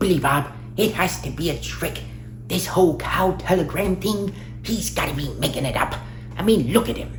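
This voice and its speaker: A put-on character voice moves at a moderate pace over loud background noise. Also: man, fairly high pitch for a man. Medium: read story. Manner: nervous, archaic phrasing.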